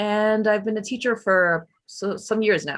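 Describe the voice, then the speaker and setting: A woman with a medium pitch speaks in a New York accent. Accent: New York American English. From US, New York. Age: 20s. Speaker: English teacher. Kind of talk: online class. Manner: casual.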